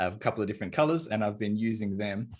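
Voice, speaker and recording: The very clean recording, with a silent background, carries an Australian accent. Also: man. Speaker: indie game designer. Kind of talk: casual chat.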